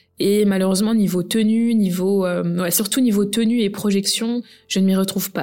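A woman talks at a medium pitch and a moderate pace. She has an ordinary speaking voice. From France, of Guinean heritage. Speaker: perfume blogger and podcast host. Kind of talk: solo podcast monologue. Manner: casual with frequent fillers.

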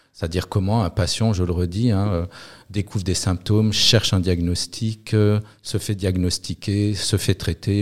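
A man speaks at a moderate pace in a very deep, low pitch, with monotone, flat intonation. The recording is very clean, with a silent background. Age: 50s. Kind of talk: interview. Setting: in Lille. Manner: halting with repetitions.

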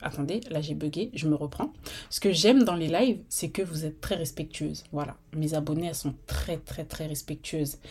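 A woman's very deep, low voice at a moderate pace with ordinary pitch variation, on a very clean recording with a silent background. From Normandy, France (Rouen). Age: 30s. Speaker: podcast host. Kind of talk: casual monologue.

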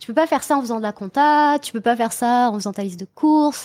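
A woman with a fairly high pitch and ordinary pitch variation speaks in a plain, everyday voice, recorded very cleanly against a silent background. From Brittany, France. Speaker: transformation coach, hypnotherapist. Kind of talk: casual interview chat.

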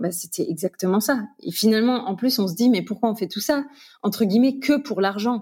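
Her tone is dark and mellow, and the woman's voice is somewhat breathy. She uses lively intonation. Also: fairly high pitch for a woman, moderate pace. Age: 30s. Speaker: real estate investor and trainer. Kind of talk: casual interview testimony.

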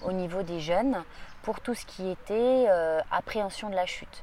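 With a dark, mellow tone, a woman speaks at a medium pitch and a moderate pace. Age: 40s. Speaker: judo practitioner and coach. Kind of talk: interview. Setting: summer training camp. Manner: halting.

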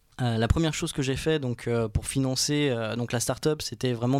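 Using an ordinary speaking voice, a man keeps to a mid-range pitch and a fairly even intonation. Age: 20s. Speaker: student entrepreneur. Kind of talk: interview.

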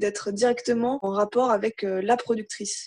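Against a quiet background, a woman speaks at a fairly slow pace. Her medium pitch carries fairly even intonation. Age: 20s. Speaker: documentary filmmaker. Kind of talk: interview. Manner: halting, many fillers.

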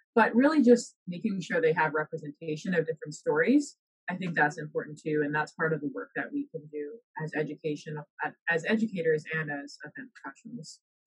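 This woman talks at a fairly quick clip in a fairly low, somewhat breathy voice, her intonation lively and her loudness swinging widely, with a dry, close sound and no echo. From the Bahamas. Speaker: professor and researcher. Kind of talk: casual interview chat.

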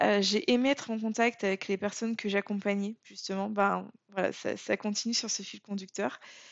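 The loudness swings a lot while the speech keeps a moderate pace and fairly even intonation. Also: woman. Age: 30s. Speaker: podcast host, coach. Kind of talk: personal monologue, unscripted. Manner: hesitant, many fillers.

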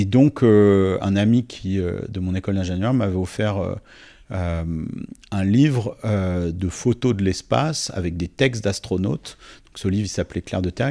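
A man with a fairly low pitch and a dark, mellow tone speaks at a moderate pace with ordinary pitch variation, recorded very cleanly against a silent background. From southern France, Nice. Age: 40s. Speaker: writer and NGO president. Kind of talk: interview conversation. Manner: hesitant, many repetitions and fillers.

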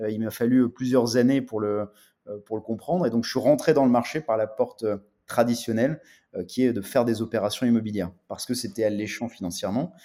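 On a very clean recording with a silent background, a man of medium pitch talks at a fairly quick pace in a dark, mellow tone with ordinary pitch variation. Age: 30s. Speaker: real estate tech entrepreneur. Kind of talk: interview. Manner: halting.

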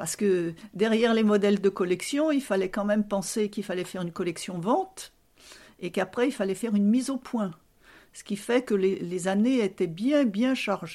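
A woman speaks at a moderate pace with a medium pitch and ordinary pitch variation. Her voice has a dark, mellow tone on a very clean recording with a silent background. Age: 70s. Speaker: retired fashion seamstress. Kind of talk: casual interview, reminiscing. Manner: hesitant, many fillers.

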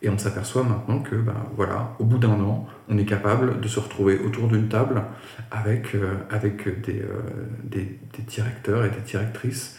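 Audible room echo surrounds a man speaking at a moderate pace in a fairly low pitch with fairly even intonation. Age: 30s. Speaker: art agency co-founder. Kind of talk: interview conversation. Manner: halting, many repetitions.

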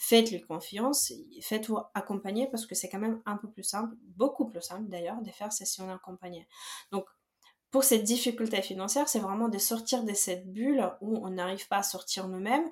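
A woman with a slight Belarusian accent speaks at a fairly high pitch, somewhat breathy, with big swings in loudness. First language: Belarusian or Russian (speaking French). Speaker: personal finance coach. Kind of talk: podcast interview.

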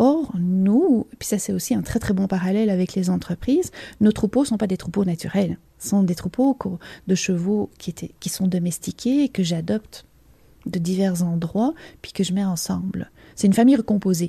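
In a very clean recording with a silent background, a somewhat breathy voice with a dark, mellow tone and a Belgian accent moves at a moderate pace with ordinary pitch variation. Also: woman. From Belgium. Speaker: leadership coach. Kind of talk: interview.

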